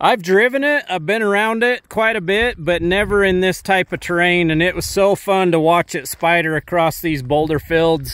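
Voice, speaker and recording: Speaking at a moderate pace with hardly any pauses, a man with a high voice sounds dry and free of echo against a quiet background. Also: ordinary pitch variation. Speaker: dealership host filming. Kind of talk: casual vlog commentary. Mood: upbeat, promotional. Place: open country. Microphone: phone near.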